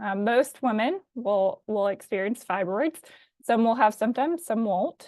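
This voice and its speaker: A woman speaks with a slight Alabama accent. Her pitch is fairly high and her pace fairly slow. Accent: slight Southern US, Alabama. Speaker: physician assistant. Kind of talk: webinar presentation. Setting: live online webinar. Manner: frequent um fillers.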